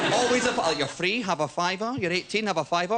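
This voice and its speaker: A man with a Scottish accent talking at a very fast pace over noticeable background noise. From Scotland. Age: 20s. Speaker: comedian. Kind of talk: stand-up. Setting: stage with audience. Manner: animated.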